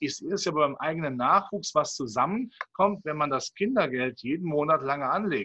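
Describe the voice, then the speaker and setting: Male speech, fairly high in pitch, at a moderate pace with lively intonation and hardly any pauses. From Rhineland, Cologne. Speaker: capital market analyst. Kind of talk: interview.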